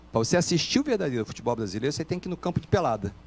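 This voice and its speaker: A man at a very fast pace, fairly high in pitch, with very wide pitch swings. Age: 60s. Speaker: pastor. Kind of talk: panel debate.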